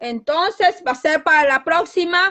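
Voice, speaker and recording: A woman at high pitch and a very slow pace, with lively intonation. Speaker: lay preacher. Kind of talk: sermon. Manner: loud.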